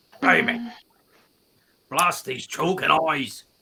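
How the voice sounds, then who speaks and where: In a put-on character voice, a man speaks in a raspy, high pitch. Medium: actual play. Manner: folksy, rambling.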